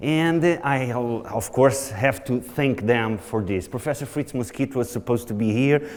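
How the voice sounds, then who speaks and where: A man in a Portuguese accent talks at a moderate pace with hardly any pauses, a medium pitch and ordinary pitch variation over noticeable background noise. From Portugal. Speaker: nutrition researcher. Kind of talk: conference lecture.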